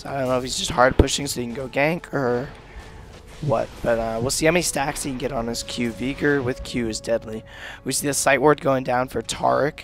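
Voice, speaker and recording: Music plays in the background as a man of medium pitch talks at a fairly quick pace with fairly even intonation. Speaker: amateur game commentator. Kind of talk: video game commentary.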